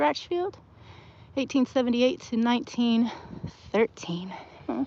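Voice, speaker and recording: Using a Southern US accent, a woman with a high pitch speaks at a fairly slow pace with lively intonation. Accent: Southern twang. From US South, Texas. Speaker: cemetery walk vlogger. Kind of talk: casual walking vlog narration. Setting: outdoors in a cemetery. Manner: chatty, animated.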